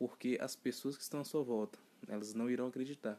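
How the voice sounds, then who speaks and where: Dark, mellow tone and medium pitch mark this man's voice. He keeps a fairly quick pace and fairly even intonation. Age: 20s. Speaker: podcast host, real estate agent. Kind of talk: motivational monologue.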